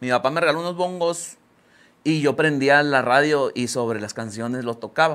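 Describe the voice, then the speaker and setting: A man's speech carries ordinary pitch variation and moves at a moderate pace. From Mexico, Guadalupe, Nuevo León; Nuevo León, Mexico. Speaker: grupero singer; interviewee. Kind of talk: casual interview. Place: studio. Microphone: lapel.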